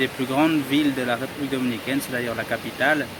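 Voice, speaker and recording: A man with a medium pitch speaks over noticeable background noise. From Dominican Republic, Cabarete. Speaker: travel vlogger. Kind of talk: casual vlog talk to camera. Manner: halting, self-correcting.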